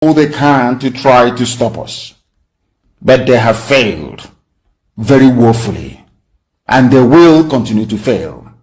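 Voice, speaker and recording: A man speaks at a medium pitch with vocal fry and ordinary pitch variation. His pace is fairly slow, broken by long, frequent pauses. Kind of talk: political broadcast address to supporters.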